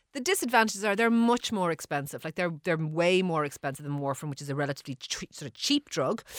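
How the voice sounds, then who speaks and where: A woman with an Irish accent, very fast and with very wide pitch swings, on a very clean recording with a silent background and a dry, close sound with no echo. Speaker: GP answering listener health queries. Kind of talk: radio health advice segment.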